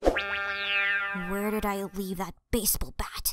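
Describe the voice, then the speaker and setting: Sound effects play in the background as a put-on character voice at middle pitch speaks at a very slow pace. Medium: dub. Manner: angry, shouting.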